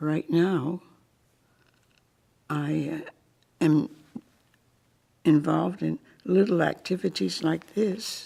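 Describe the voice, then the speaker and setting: A woman with an American accent speaks at a very slow pace, her fairly low voice dark and mellow with vocal fry, ordinary pitch variation, and long, frequent pauses. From Connecticut, US (Putnam). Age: 90s. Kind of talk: oral history interview.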